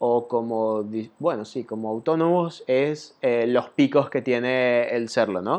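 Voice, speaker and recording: The pitch varies in an ordinary way while the delivery stays very slow. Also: man. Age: 20s. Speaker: podcast host, web designer. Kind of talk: solo monologue podcast. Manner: casual, many fillers (eh, ¿ok?, ¿vale?).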